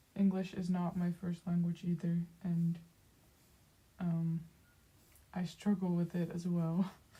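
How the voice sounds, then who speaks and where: Speaking at a fairly slow pace with long, frequent pauses, a woman has a somewhat breathy, dark, mellow tone and monotone, flat intonation. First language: Dutch. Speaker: streamer, artist. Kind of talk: casual chat. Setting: livestream. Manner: halting, many fillers.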